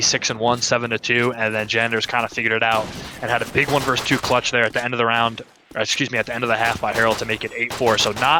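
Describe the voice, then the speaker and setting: Quiet and at a very fast pace, a man speaks at a medium pitch. Noticeable background noise sits behind him. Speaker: esports caster. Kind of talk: live commentary. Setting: at home.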